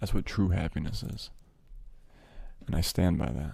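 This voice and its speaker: Whispering, a man talks at a fairly slow pace. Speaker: ASMR streamer. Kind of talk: casual live stream chat to audience.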